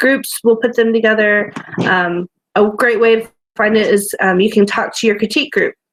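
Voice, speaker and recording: In an unremarkable speaking voice, a woman talks at a moderate pace with a fairly high pitch and fairly even intonation. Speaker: romance author. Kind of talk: casual chat.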